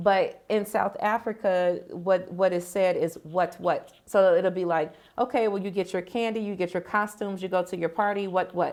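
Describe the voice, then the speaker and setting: In a normal speaking voice, a woman with an American accent talks at a moderate pace with a medium pitch and fairly even intonation, on a very clean recording with a silent background. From United States. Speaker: author and marketing vlogger. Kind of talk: casual vlog talk to camera. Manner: relaxed, many fillers (um, like).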